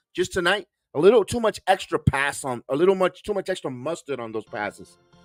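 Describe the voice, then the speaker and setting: With music in the background and a dry, close sound with no echo, a man talks at a fairly quick pace and a high pitch, with very wide pitch swings and big swings in loudness. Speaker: sports play-by-play announcer. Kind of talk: live basketball play-by-play commentary.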